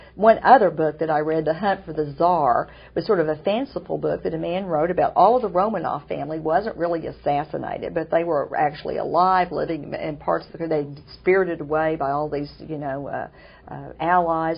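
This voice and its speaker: A woman with a Southern US accent talks at a fairly quick pace in a fairly low pitch, with vocal fry, ordinary pitch variation and big swings in loudness. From Oklahoma. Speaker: author and TV interview host. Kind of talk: interview.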